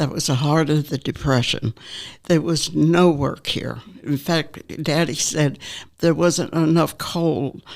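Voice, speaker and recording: Speaking very slowly with fairly even intonation, a woman with an American accent has a very deep, low pitch. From Norfolk, Virginia. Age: 80s+. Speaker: retirement community resident. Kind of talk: life story interview. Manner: halting, with frequent fillers.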